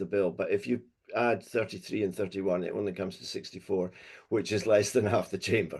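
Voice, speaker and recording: A man speaks over a quiet background. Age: 60s. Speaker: workshop presenter on assisted dying. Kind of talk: presentation in a webinar. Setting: webinar. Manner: halting, with many fillers.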